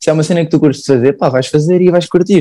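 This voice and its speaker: The voice has a dark, mellow tone and a Lisbon accent. It moves at a very fast pace. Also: man. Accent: European Portuguese, Lisbon area. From Portugal, Sintra. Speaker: painter and engineering graduate. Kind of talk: casual interview.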